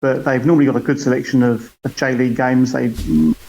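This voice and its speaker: A man with a British accent talks at a very fast pace. His pitch is medium, and noticeable background noise runs underneath. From UK. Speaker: football fan. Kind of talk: casual chat. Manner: halting.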